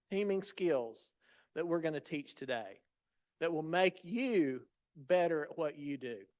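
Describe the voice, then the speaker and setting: This man talks with a Southern US accent at a moderate pace. His pitch is high. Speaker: patient safety leader. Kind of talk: lecture. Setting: stage with audience.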